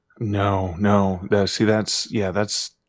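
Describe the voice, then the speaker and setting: Speaking very slowly, a man with a Canadian accent keeps a fairly low pitch. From Canada, mid-northern Ontario. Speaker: author. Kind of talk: interview.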